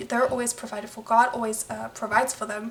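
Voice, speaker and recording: A soft-spoken woman talks at a fairly high pitch. Background noise is noticeable. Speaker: tarot reader. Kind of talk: tarot reading. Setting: at home late at night, others sleeping. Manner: halting.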